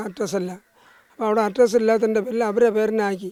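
The speaker is a man with a high pitch. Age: 60s. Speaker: evicted elderly labourer. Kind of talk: interview testimony. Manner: halting.

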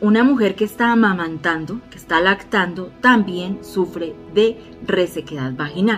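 A woman at a moderate pace with hardly any pauses, faint music in the background. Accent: Bogotá. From Bogotá, Colombia. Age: 40s. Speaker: former hairstylist and nail technician; wellness vlogger. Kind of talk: casual health tips talk to camera. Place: home room. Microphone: phone near.

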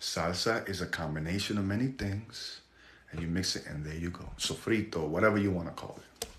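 A man speaks at a fairly quick pace in a very deep, low voice. His tone is animated, with light background noise behind him. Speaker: livestream host. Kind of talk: livestream talk show. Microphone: phone near.

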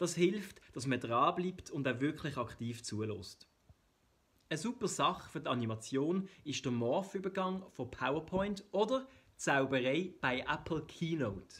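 Talking at a fairly slow pace, a man in a Swiss German accent uses a fairly high pitch with very wide pitch swings. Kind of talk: explainer video narration.

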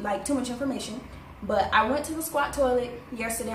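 High-pitched, a woman's voice comes through noticeable background noise. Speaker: traveler vlogger. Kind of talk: casual vlog chat. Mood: amused, cheerful. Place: home room. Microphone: phone near.

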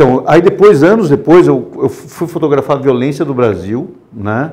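A man with a fairly high pitch. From Brazil, interior of São Paulo (Botucatu); São Paulo, Brazil. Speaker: war photographer; interview guest. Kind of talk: interview. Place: studio.

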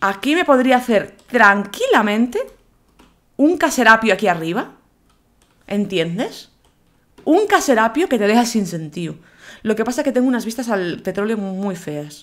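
A woman with a fairly high voice speaks in an animated tone at a fairly slow pace, her pitch swinging very widely between long, frequent pauses. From Galicia, Spain (Vigo). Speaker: gaming YouTuber. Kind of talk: gameplay commentary.

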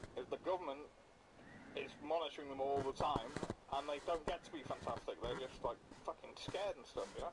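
A man talks at a fairly quick pace with long, frequent pauses. Noticeable background noise sits behind him. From Northern Ireland. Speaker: gamer. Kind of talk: casual gaming chat.

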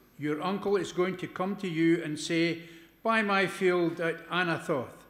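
A man talks at a fairly slow pace with a high pitch. Room echo is audible. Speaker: lay scripture reader. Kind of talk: scripture reading. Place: church. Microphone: podium.

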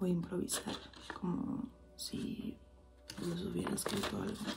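Whispering and soft-spoken, the voice moves at a fairly slow pace over clear background music. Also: woman. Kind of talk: casual spoken performance, improvised address. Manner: soft ASMR whisper, intimate. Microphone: handheld.

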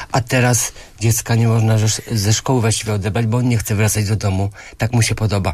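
At a very fast pace, a man with a fairly low pitch talks in a monotone, flat intonation, somewhat breathy and at a very even loudness. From Poland, Grudziądz; Poland. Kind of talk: radio interview. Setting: radio studio. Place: studio.

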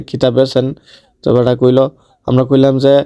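A man speaks with an eastern Bangladeshi accent. His tone is dark and mellow at a medium pitch. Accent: Brahmanbaria regional Bengali dialect. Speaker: vlogger. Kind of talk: vlog narration. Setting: outdoors at a fair.

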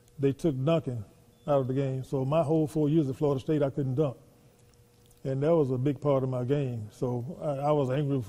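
A man with a Southern US accent speaks at a fairly quick pace. His tone is dark and mellow, and his intonation fairly even. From US South. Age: 70s. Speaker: former professional basketball player. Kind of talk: interview. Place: hall.

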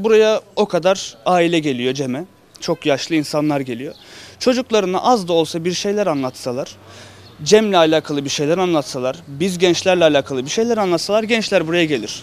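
Lively in intonation and high in pitch, a man speaks at a moderate pace in a dry sound with no echo. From Turkey (Sivas roots); Turkey. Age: young. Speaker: semah teacher at a cemevi. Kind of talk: interview. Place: street. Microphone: handheld.

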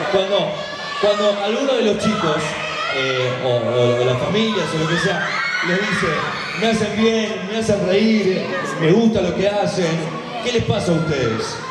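A man speaks at a fairly slow pace with long, frequent pauses, with audible room echo and loud background noise. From Argentina. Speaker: event panel interviewer. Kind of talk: live stage interview. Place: stage.

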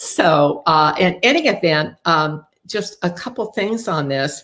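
A woman speaks at a fairly slow pace with lively intonation. Her pitch sits fairly low. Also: fairly bright tone.

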